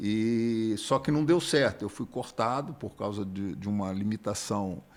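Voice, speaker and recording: On a very clean recording with a silent background, a man talks fairly slowly in a fairly low pitch with lively intonation. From Rio de Janeiro, Brazil, with Minas Gerais parents and schooling. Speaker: church member, former military student. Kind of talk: casual interview chat.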